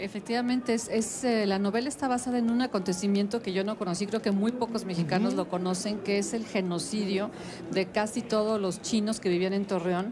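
Over noticeable background noise, a woman talks with very even loudness. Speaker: interviewee. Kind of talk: interview answer. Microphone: handheld.

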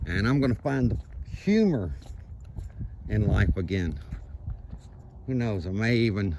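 Noticeable background noise surrounds a man speaking at a moderate pace in a fairly low pitch, the sound dry with no echo. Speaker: vlogger. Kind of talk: casual vlog chat. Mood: reflective, upbeat. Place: waterside. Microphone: phone near.

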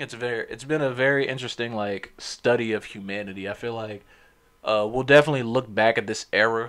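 Over a quiet background, a man speaks at a fairly quick pace. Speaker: podcast host. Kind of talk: casual podcast monologue. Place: home room. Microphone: studio mic.

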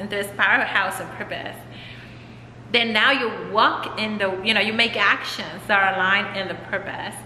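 The speech moves at a moderate pace with fairly even intonation, audible room echo and light background noise. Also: woman. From Mexico. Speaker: author and transformation coach; transformation coach. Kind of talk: casual interview chat. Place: home room. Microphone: camera far.

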